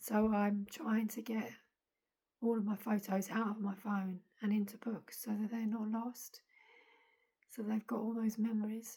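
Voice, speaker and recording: A woman with an English accent speaks in a fairly high, somewhat breathy voice with a dark, mellow tone. Her intonation is monotone and flat, with long, frequent pauses. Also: fairly slow pace. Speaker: vlogger. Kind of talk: personal video diary.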